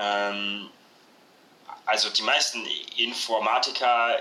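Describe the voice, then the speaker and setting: A man at a medium pitch with monotone, flat intonation, against noticeable background noise. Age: 20s. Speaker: social work student. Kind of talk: casual chat. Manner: hesitant, many fillers.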